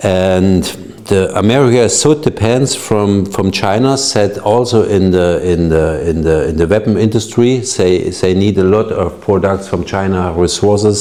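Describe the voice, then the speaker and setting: Speaking in a German accent at a fairly slow pace, the voice keeps a very even loudness with ordinary pitch variation, and audible room echo surrounds it. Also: man, fairly low pitch for a man. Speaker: engineer, discussion panelist. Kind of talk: panel discussion. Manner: halting, many repetitions.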